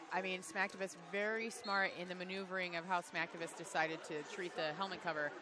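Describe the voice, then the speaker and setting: With an American accent, a woman talks at a fairly quick pace amid audible room echo. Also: medium pitch for a woman, hardly any pauses. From Chicago area, US Midwest. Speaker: roller derby commentator. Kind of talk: live commentary. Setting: commentary booth at a live event. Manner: animated.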